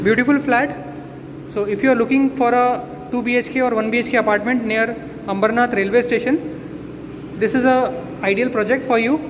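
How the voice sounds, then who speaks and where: Over noticeable background noise, a man speaks at an extremely high pitch with ordinary pitch variation. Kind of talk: property tour commentary. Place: empty room. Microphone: phone near.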